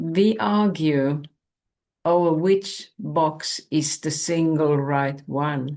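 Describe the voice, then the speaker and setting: Against a quiet background, a woman with a very deep, low pitch and a dark, mellow tone speaks at a very slow pace with ordinary pitch variation. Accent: Finnish. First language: Finnish. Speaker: spiritual teacher. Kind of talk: spiritual talk.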